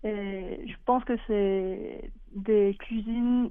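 A woman's medium-pitched voice with a Korean accent and fairly even intonation. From South Korea. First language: Korean (speaking French). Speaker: illustrator. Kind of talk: interview. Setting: phone call.

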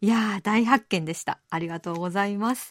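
A woman is speaking. The recording is very clean with a silent background, and the sound is dry and close with no echo. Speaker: radio host. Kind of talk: radio show hosting. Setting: studio. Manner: cheerful, friendly.

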